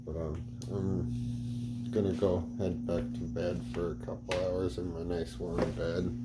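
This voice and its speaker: With music in the background and audible room echo, a man speaks at a very slow pace in a very deep, low voice with very wide pitch swings. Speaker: outdoor gear vlogger. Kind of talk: casual vlog. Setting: outdoors in winter cold, then indoors. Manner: quiet, trying not to wake kids.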